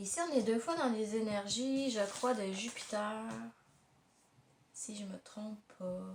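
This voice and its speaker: A woman speaks very slowly with a fairly high pitch. Her voice is somewhat breathy. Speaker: tarot card reader. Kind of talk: tarot reading monologue. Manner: halting, many hesitations.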